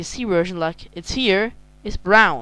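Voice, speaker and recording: With a German accent, a woman speaks at a medium pitch with ordinary pitch variation. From Germany. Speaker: video game reviewer. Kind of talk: casual game review. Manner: halting.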